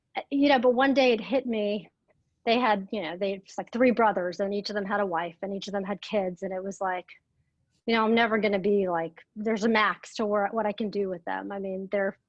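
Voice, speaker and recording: A woman's normal speaking voice, medium in pitch, with a fairly quick pace and fairly even intonation. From Atlanta area, US South (Russian-born, moved at four). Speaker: real estate agent. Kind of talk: interview.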